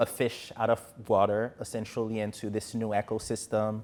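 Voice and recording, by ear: Speech comes at a moderate tempo. The accent is American. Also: man.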